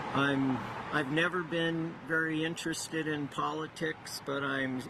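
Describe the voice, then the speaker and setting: Fairly slow speech from a man, noticeable background noise behind it. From Iowa, US Midwest. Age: 60s. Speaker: rally attendee. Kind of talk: street interview. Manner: halting.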